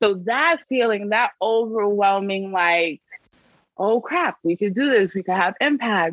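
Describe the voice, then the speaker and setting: With a New York accent, a woman speaks at a medium pitch. Her intonation is lively and her pace fairly slow. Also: very even loudness. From New York City, South Bronx. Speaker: civic advocacy organization director. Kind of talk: interview.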